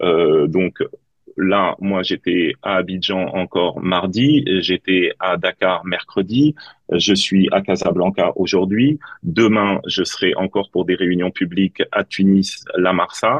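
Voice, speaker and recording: Very slow and very even in loudness, a man speaks at a very deep, low pitch with ordinary pitch variation. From Tunisia. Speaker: politician, parliamentary candidate. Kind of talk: political debate.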